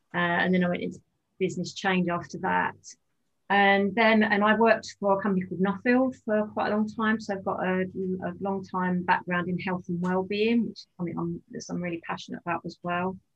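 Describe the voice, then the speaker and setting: A woman speaks at a medium pitch and a fairly quick pace, her voice somewhat breathy. Her intonation is monotone and flat. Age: 50s. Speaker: life coach and yoga teacher. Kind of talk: casual chat.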